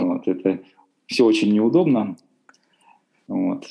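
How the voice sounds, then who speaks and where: A man with a dark, mellow tone and a medium pitch speaks at a fairly slow pace. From Russian Far East, Khabarovsk. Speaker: language teacher and interpreter. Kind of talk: casual interview.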